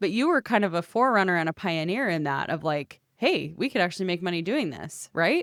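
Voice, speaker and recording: A woman with a normal speaking voice and fairly low pitch talks at a fairly quick pace with lively intonation. The recording is very clean, with a silent background and a dry, close sound with no echo. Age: younger than guest. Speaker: podcast host. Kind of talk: interview.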